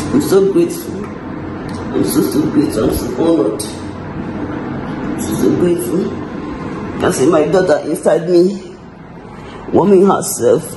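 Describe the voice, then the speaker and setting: Noticeable background noise runs under speech that stops for long, frequent pauses. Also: woman, fairly slow pace. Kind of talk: casual vlog chat. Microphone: phone near.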